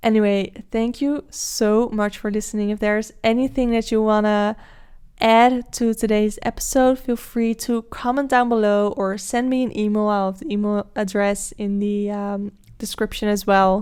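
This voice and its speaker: Against a silent background in a very clean recording, a woman speaks at a moderate pace with a fairly high pitch and monotone, flat intonation. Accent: Dutch. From Netherlands. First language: Dutch. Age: 20s. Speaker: podcast host. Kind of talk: solo podcast monologue. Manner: casual, with filler words.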